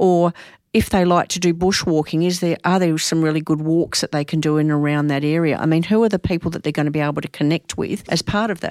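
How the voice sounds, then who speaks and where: A woman with a fairly low pitch speaks at a very fast pace and with fairly even intonation. The recording is very clean and silent behind her, with a dry, close sound and no echo. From Australia, Adelaide. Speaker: psychology professor. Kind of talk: casual interview.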